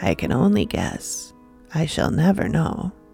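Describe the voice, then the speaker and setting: A man puts on a raspy character voice, fairly low in pitch, at a moderate pace. Clear music plays in the background. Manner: slow.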